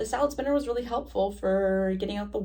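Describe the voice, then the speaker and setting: The room's echo can be heard. Her delivery, a woman's, moves at a fairly quick clip. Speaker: knitting podcaster, student teacher. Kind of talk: casual vlog monologue. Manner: casual, many fillers; mouth clicking sounds.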